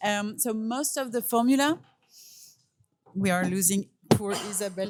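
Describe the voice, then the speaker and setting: Speaking at a fairly slow pace in a French accent, a woman keeps a medium pitch with ordinary pitch variation. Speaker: perfumer. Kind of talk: interview. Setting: perfume fair in Paris. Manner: halting.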